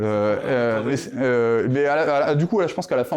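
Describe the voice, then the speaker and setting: Pitch varying in an ordinary way, a man speaks at a fairly quick pace. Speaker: mathematician, conference speaker. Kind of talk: conference talk. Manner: hesitant, many fillers.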